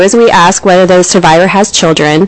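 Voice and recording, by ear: A soft-spoken woman talks at a moderate pace and a medium pitch.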